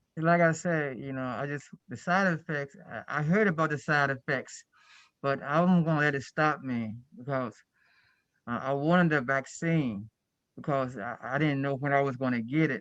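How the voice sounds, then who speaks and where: Against a quiet background, a man speaks at a moderate pace with a fairly high pitch and ordinary pitch variation. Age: 60s. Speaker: self-advocate and group home worker. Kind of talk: panel Q&A testimony. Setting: webinar video call. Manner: halting, many repetitions.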